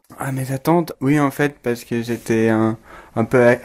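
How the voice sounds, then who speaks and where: A man talks with an English accent at a fairly slow pace. His intonation is monotone and flat. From England. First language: English (speaking French). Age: 20s. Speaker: exchange student. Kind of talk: interview. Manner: halting.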